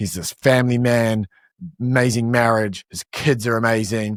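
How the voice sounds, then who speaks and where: The speaker has a New Zealand accent. The recording is very clean and dry, close-up with no echo and a silent background. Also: man. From New Zealand, Palmerston North. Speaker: e-commerce entrepreneur. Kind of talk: podcast interview.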